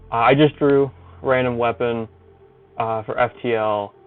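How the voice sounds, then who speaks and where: There is music in the background. A man talks at a medium pitch. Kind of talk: casual tutorial narration. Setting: low-quality headphone mic. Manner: unscripted, hesitant, many filler words.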